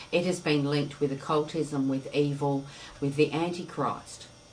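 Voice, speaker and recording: The speaker has an Australian accent. Audible room echo and noticeable background noise fill the recording. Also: woman. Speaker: tarot teacher. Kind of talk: lecture.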